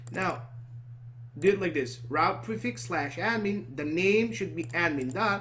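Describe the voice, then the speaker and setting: Over audible room echo, a man talks at a moderate pace with lively intonation. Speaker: programming tutor. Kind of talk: screen-recorded coding tutorial. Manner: halting, self-correcting.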